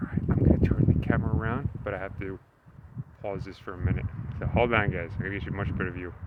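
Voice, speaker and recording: Over noticeable background noise, a man with a very deep, low voice speaks at a very fast pace, with ordinary pitch variation and big swings in loudness. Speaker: travel vlogger. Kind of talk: casual vlog narration. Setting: outdoors.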